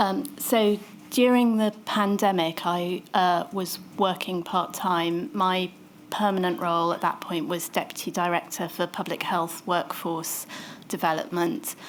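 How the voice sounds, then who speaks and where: A soft-spoken voice talks at a fairly slow pace with ordinary pitch variation. The recording is very clean, with a silent background. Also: woman, medium pitch for a woman. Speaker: public health doctor giving evidence. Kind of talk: witness testimony.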